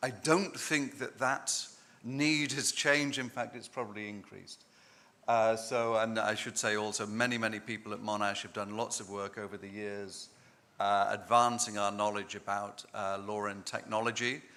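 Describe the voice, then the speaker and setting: At a moderate pace, a man with an English accent speaks in a medium pitch and a bright, sharp tone, with big swings in loudness. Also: fairly even intonation. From England. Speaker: law professor. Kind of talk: conference talk.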